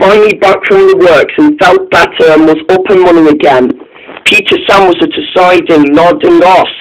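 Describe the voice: The clip is plain reading aloud.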